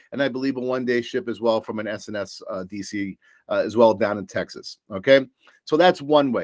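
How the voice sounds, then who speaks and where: A man with a New York accent talks at a fairly quick pace with lively intonation and an animated tone, in a dry, close sound with no echo on a very clean recording with a silent background. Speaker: supplier sales presenter. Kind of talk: business presentation.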